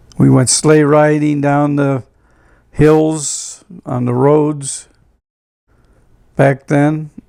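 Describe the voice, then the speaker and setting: A man's fairly high voice with a northeastern Pennsylvania accent, monotone and flat, at a very slow pace with long, frequent pauses. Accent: northeastern Pennsylvania American. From northeastern Pennsylvania, Scranton. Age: 80s+. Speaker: retired doo-wop singer. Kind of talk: reminiscing interview. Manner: halting.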